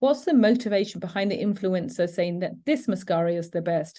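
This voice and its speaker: With a British accent, a woman talks at a moderate pace in a dark, mellow tone at a medium pitch, with ordinary pitch variation, against a quiet background. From United Kingdom. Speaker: educator presenting cyber safety webinar. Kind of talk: educational webinar.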